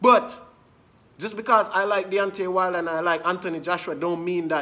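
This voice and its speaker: A man's bright, sharp tone. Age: young. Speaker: boxing commentator. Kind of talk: angry rant. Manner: indignant, repetitive, emphatic; fast, insistent, addressing viewers directly. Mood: annoyed, ranting. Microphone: phone near.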